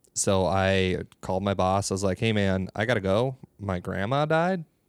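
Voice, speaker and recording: A man speaks in a fairly low pitch with an Upper Midwest accent. The sound is dry and close with no echo, on a very clean recording with a silent background. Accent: Upper Midwest (Minnesota). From northern Minnesota. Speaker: comedian. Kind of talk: casual chat.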